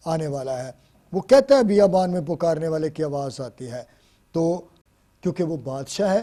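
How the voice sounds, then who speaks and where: A man's fairly high voice with lively intonation and a dark, mellow tone. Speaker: pastor, guest speaker. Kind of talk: sermon, Bible message. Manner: earnest, preaching.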